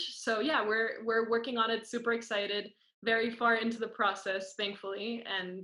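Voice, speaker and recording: In a Spanish accent, a woman with a fairly high pitch and a bright, sharp tone speaks at a moderate pace with monotone, flat intonation. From Costa Rica. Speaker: student performer. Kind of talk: interview.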